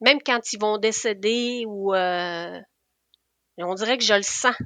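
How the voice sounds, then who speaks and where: A woman speaks at a very slow pace in a fairly high voice with a bright, sharp tone and ordinary pitch variation. She has a Quebec accent, and the background is quiet. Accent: Québécois French. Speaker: nurse. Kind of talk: interview conversation. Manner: halting.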